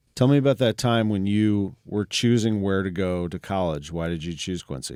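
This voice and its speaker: A man with a Midwestern American accent and fairly low pitch, at a moderate pace with ordinary pitch variation, in a very clean recording with a silent background and a dry, close sound with no echo. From St. Louis, Missouri. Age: 40s. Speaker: interviewer. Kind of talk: life story interview.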